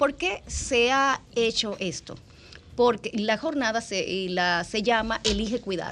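Over music in the background, a woman speaks at a very slow pace with ordinary pitch variation. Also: fairly high pitch for a woman. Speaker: dermatologist. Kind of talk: radio interview.

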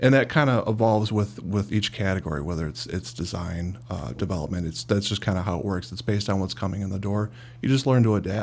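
Talking at a very fast pace with hardly any pauses, a man with a Chicago accent uses vocal fry and lively intonation. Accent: Chicago-area American. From US Midwest (Cicero, Illinois). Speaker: CEO of a digital marketing agency. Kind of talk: casual interview.

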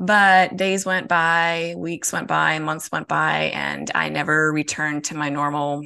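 With an American accent, a woman speaks at a fairly slow pace with hardly any pauses, her very deep, low voice bright and sharp in tone. Her pitch varies in an ordinary way, and the background is quiet. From Minnesota. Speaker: podcast guest. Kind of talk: casual interview.

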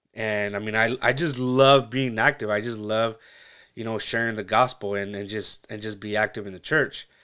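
A man with a Californian accent at a moderate pace, fairly even intonation and big swings in loudness, on a very clean recording with a silent background. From Central Valley, California. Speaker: podcast host. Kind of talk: casual monologue. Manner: halting, many fillers.

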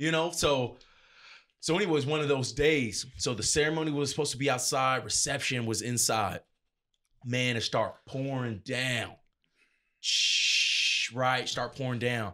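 Loud and bright with a sharp tone, a man with an American accent speaks at a moderate pace and medium pitch with ordinary pitch variation, on a very clean recording with a silent background. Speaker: DJ and event entertainer. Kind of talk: casual interview. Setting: studio. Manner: loud, talkative.

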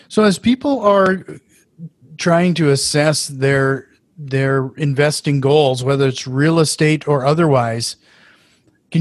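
A man's fairly high pitch with ordinary pitch variation, in an Upper Midwest accent, at a fairly slow pace, with dry, close sound and no echo. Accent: Upper Midwest American. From Fargo, North Dakota. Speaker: podcast host. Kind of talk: casual interview.

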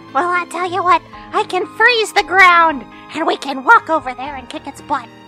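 A squeaky, put-on character voice at extremely high pitch and moderate pace, over clear music in the background. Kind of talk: comic overacting. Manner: surprised, then scheming.

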